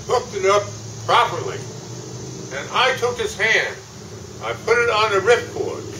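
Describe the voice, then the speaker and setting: Noticeable background noise sits behind the voice. A man speaks at a fairly slow pace. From New Jersey. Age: 80s+. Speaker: war veteran. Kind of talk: war story told to an audience. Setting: public event with microphone.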